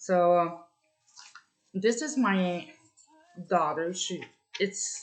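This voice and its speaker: With a French Canadian accent, this speaker goes at a very slow pace with long, frequent pauses. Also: woman, medium pitch for a woman, ordinary pitch variation. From Ontario, Canada (francophone). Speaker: vlogger. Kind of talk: personal testimony. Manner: halting, many fillers.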